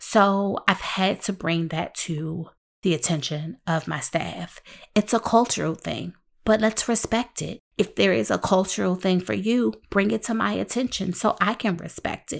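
In a very clean recording with a silent background, a woman speaks at medium pitch and a fairly slow pace. Her tone is animated, her intonation lively, and her voice has vocal fry. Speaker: podcast host and helping-professions consultant. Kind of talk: solo podcast talk. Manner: loud.

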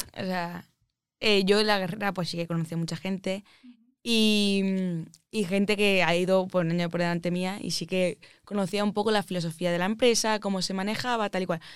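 In a very clean recording with a silent background, a woman with an Andalusian accent speaks at a medium pitch with fairly even intonation. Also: moderate pace. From Andalusia, Málaga. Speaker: aeronautical engineer. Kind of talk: casual interview chat.

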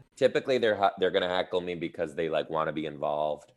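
A man speaks with an American accent. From Detroit, Michigan, US Midwest. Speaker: teacher turned stand-up comedian. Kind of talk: casual interview chat. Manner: animated, chatty.

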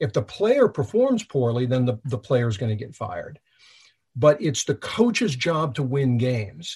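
The man's voice sits at a medium pitch and is somewhat breathy, with lively intonation. He keeps a moderate pace against a quiet background. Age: 50s. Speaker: leadership trainer, former FBI agent. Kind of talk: interview. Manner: repetitive stammering.

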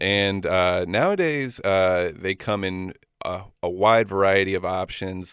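Speaking at a fairly slow pace, a man has a very deep, low voice. He talks with an American accent. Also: fairly even intonation. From Florida. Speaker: audiologist. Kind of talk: radio interview. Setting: studio.

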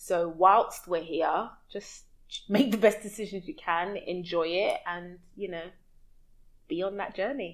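The speaker has a London accent and a fairly slow pace. Loudness swings a lot while pitch varies in an ordinary way. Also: woman, medium pitch for a woman. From West London, UK. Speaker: expat entrepreneur and community connector. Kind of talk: casual interview chat.

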